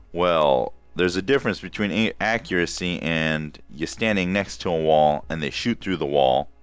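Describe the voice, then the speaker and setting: A man with a very deep, low voice talks at a moderate speed over background music. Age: middle-aged. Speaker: gamer, game reviewer. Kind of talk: casual talk to camera.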